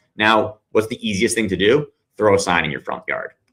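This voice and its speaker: A man talking at a fairly quick pace. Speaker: speakers' agent and company CEO. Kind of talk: live-streamed talk with audience Q&A. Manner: fast.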